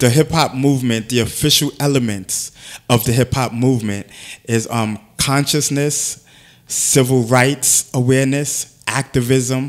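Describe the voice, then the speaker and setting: Against a quiet background, a man with an American accent speaks at a medium pitch, fairly slowly, with fairly even intonation. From US Northeast (Bronx, New York City); New York. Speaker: hip-hop activist; interview guest. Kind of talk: casual interview. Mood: earnest, preachy about culture. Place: studio. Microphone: studio mic.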